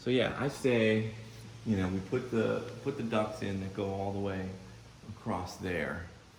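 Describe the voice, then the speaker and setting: A man speaks with a fairly low pitch and ordinary pitch variation, pausing long and often. Noticeable background noise runs under the recording. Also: fairly slow pace. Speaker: record producer. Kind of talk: casual conversation.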